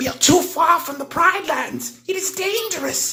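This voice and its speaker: This is a put-on character voice at an extremely high pitch. It moves along at a moderate pace. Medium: read story.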